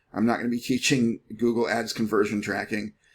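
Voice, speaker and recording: A man with a medium-pitched voice speaks at a fairly quick pace. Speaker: online marketing instructor. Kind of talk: screen-share tutorial. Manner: fast; casual.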